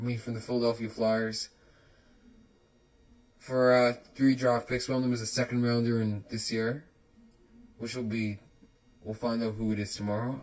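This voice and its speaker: Mumbling at a moderate pace, a man speaks at a medium pitch in a monotone, flat line, broken by long, frequent pauses. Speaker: hockey podcaster. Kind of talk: casual solo podcast talk. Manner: mumbling, many filler words.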